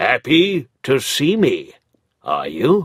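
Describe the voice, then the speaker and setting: Putting on a character voice, a man sounds gruff at a high pitch. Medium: read story. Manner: gruff, curt.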